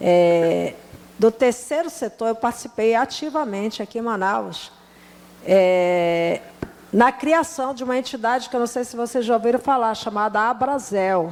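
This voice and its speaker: The speaker uses lively intonation. The pace is fairly slow. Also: woman, fairly high pitch for a woman. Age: 60s. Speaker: restaurant owner and businesswoman. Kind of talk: panel discussion. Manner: hesitant, many fillers.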